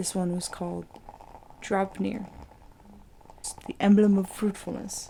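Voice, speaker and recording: Quiet and calm in tone, a woman speaks at a very slow pace with monotone, flat intonation. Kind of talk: ASMR mythology reading. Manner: quiet, calm.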